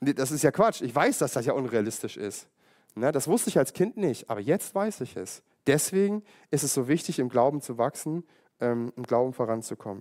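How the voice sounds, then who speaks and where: An ordinary speaking voice: a man at medium pitch with lively intonation, talking at a moderate pace. The recording is very clean, with a silent background. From East Germany. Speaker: pastor. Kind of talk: sermon.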